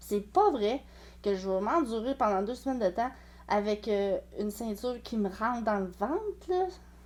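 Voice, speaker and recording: Speaking in a Quebec accent, a woman with a fairly high voice takes a fairly slow pace. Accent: Québécois French. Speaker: sewing and clothing vlogger. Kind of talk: casual vlog monologue. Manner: hesitant, many fillers.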